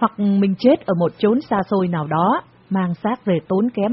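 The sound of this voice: An unforced reading voice with pitch that varies in an ordinary way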